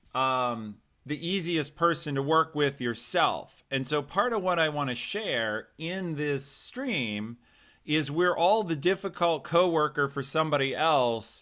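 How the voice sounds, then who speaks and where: A loud, enthusiastic man's voice, fairly high and bright with a sharp edge, lively in intonation and fairly slow, on a very clean recording with a silent background. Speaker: career coach hosting a live stream. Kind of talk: live stream talk with chat.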